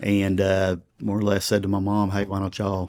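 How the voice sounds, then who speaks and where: A man speaks with a Texan accent at a fairly low pitch. The recording is very clean, with a silent background. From Texas. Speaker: pastor. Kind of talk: interview. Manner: conversational.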